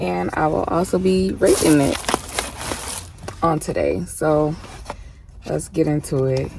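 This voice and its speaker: Against noticeable background noise, a woman with a very deep, low pitch speaks fairly slowly, her pitch swinging very widely, with long, frequent pauses. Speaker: mukbang vlogger. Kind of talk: casual eating vlog. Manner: soft-spoken.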